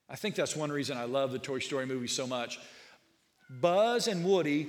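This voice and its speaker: Audible room echo surrounds a man talking at a moderate pace with lively intonation. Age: 40s. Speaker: pastor. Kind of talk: sermon.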